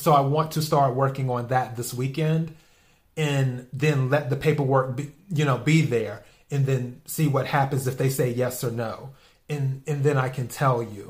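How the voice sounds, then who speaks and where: Here a man speaks at a moderate pace in a fairly high pitch. His voice is somewhat breathy, with fairly even intonation. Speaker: podcast host. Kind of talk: solo podcast monologue. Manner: rambling, repetitive.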